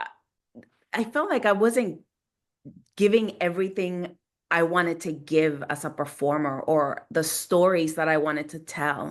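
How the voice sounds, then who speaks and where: A woman with a Latin American accent talks at a fairly slow pace, with a fairly low pitch and long, frequent pauses. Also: ordinary pitch variation, quiet background. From Guatemala, Montreal and Los Angeles. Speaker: theater maker. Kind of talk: panel discussion. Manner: halting.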